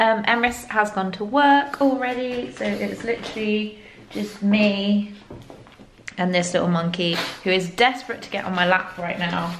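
At a moderate pace, a woman speaks in a medium pitch with fairly even intonation and audible room echo.

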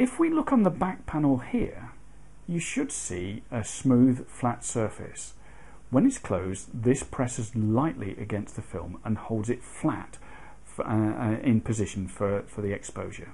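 A man in a British accent at a fairly slow pace. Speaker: photography hobbyist. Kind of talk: tutorial explanation to camera. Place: home room.

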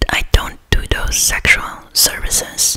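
The voice is a whisper. It belongs to a woman. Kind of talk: role-play chat to viewer. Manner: soft close-mic ASMR speaking. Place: home room. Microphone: studio mic.

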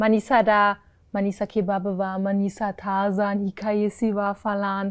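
On a very clean recording with a silent background, a woman with a German accent speaks at a very slow pace. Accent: German-accented Turkish. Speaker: travel content creator. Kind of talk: casual interview chat. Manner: animated, laughs often.

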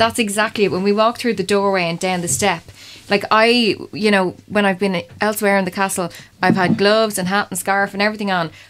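Fairly even intonation and a fairly quick pace mark a woman's speech. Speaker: participant in the castle investigation. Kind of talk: casual chat, describing sensations. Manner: nervous, laughing. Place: hall.

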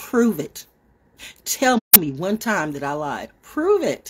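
Her animated voice, touched with vocal fry, swings very widely in pitch as the woman talks at a fairly slow pace. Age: 60s. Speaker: online broadcaster. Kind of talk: casual monologue livestream. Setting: outdoors. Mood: confrontational, defiant. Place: home room. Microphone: phone near.

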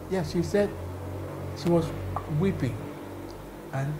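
A man's voice shows ordinary pitch variation over noticeable background noise. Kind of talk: interview answer. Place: home room. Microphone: lapel.

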